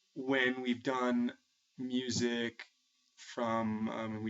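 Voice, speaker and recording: A man with an American accent. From New England, suburban Massachusetts. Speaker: music teacher. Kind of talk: personal video blog monologue. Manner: halting, many repeated words.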